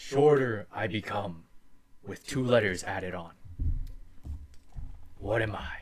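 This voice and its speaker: A man's booming, put-on character voice, fairly low in pitch, at a fairly slow pace with long, frequent pauses. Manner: booming, riddling.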